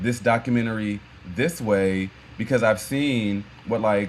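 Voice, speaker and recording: A man with an American accent at a medium pitch, speaking at a moderate pace over noticeable background noise. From Maryland, US. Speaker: filmmaker and photographer. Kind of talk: interview. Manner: halting, many fillers and repeats.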